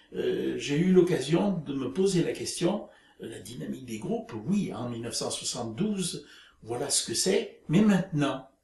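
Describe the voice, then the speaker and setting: Amid noticeable background noise and audible room echo, a man speaks fairly slowly in a high pitch with very wide pitch swings. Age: 70s. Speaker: retiree, group dynamics practitioner. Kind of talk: interview. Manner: halting, many hesitations.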